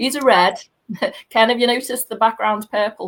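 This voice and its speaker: A woman speaks in a Liverpool accent at a fairly high pitch. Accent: Scouse (Liverpool). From Liverpool, England. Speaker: tour guide. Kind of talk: casual chat.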